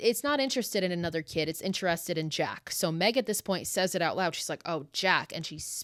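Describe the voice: Lively intonation in plain reading aloud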